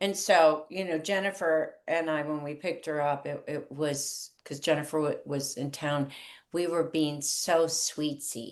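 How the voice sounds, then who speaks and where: Her pitch is very deep and low, and this woman speaks at a fairly slow pace. Her intonation stays fairly even. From US East Coast. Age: 60s. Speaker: author and water charity founder. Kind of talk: interview storytelling. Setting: podcast. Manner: halting.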